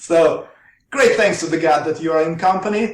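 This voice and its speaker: A man with a Russian accent speaks at a fairly high pitch, with audible room echo. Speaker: researcher. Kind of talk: interview. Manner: halting.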